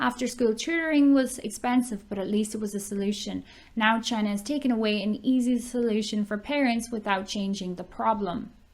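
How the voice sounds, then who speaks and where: On a very clean recording with a silent background, a somewhat breathy woman with a fairly high pitch and ordinary pitch variation talks at a fairly quick pace with hardly any pauses. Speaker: online ESL teacher. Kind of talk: reading news article aloud.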